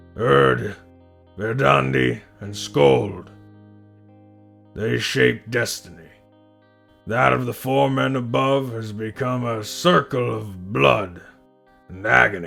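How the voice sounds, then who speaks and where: A man does a put-on character voice at a fairly low pitch, with very wide pitch swings and big jumps in loudness. He talks at a fairly slow pace with long, frequent pauses while faint music plays in the background. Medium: read story. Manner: terse, weary.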